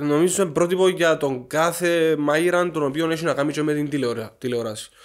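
Against a quiet background, a man with a fairly high pitch talks at a moderate pace with ordinary pitch variation and hardly any pauses. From Cyprus. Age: 20s. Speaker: chef, former cooking show contestant; podcast guest. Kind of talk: casual interview. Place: home room. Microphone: studio mic.

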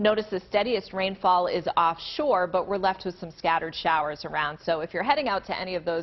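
A woman at a fairly low pitch and fairly quick pace, with ordinary pitch variation. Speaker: TV meteorologist. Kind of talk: weather report. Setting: TV studio. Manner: clear, brisk, professional broadcast delivery. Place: studio. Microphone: lapel.

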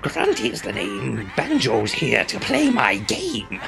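In a croaky put-on character voice, a man speaks at a very slow pace with clear music in the background. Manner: gleeful game-show host.

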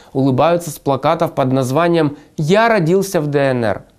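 A man's fairly high voice at a moderate pace, with ordinary pitch variation against a quiet background. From Donbas, eastern Ukraine. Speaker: journalist, video blogger. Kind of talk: scripted narration. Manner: formal. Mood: serious, concerned. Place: studio. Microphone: lapel.

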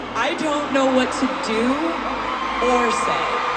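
Very slow speech under loud background noise. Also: woman. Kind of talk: stage banter to audience. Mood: overwhelmed, emotional, grateful. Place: stadium. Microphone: pa.

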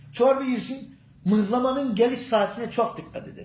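A man speaks at an extremely high pitch, with audible room echo. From Gerede, Bolu, Turkey. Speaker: local man answering a question. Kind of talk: street interview answer. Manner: humorous, casual. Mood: joking, animated. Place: office. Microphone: phone near.

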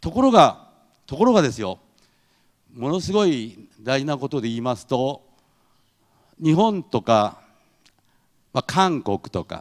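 Speaking at a fairly slow pace with long, frequent pauses, a man uses a fairly high pitch and very wide pitch swings. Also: quiet background. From Japan. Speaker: head of an international exchange association; speaker. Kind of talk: lecture. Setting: stage with audience. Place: hall. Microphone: handheld.

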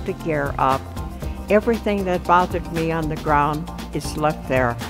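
A woman's speech unfolds at a fairly slow pace. Clear music can be heard in the background. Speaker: pilot. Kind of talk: interview answer. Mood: warm, reflective, fond. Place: hall.

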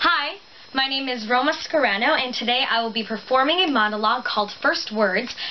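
Light background noise accompanies a woman speaking at a moderate pace in a high pitch. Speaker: actor performing a monologue. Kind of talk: dramatic monologue performance. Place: home room. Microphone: camera far.

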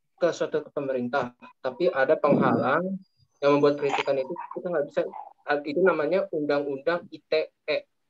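Noticeable background noise runs under the recording. A male speaker keeps a moderate pace. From Jakarta; Indonesia. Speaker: law student. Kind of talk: classroom question. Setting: video call. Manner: halting. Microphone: video call.

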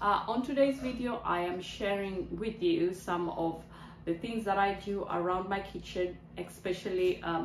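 Over light background noise and audible room echo, a woman talks at a fairly slow pace with ordinary pitch variation. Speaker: lifestyle vlogger. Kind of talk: casual vlog chat. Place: kitchen. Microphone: phone near.

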